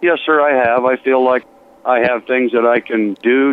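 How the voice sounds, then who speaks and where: Noticeable background noise sits behind a man at a medium pitch. He speaks at a moderate pace with fairly even intonation. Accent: American. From Colorado, US. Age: 60s. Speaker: retired fire chief. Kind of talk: interview. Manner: polite and plain-spoken.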